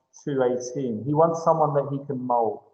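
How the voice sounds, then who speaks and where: The voice belongs to a man. The room adds an audible echo. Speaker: English teacher. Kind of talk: lecture.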